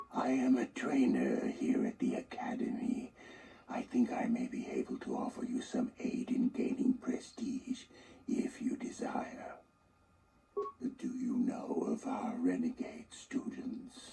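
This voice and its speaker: A put-on character voice with fairly high pitch speaks at a fairly slow pace, with clear echo around it. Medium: video game. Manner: measured, formal.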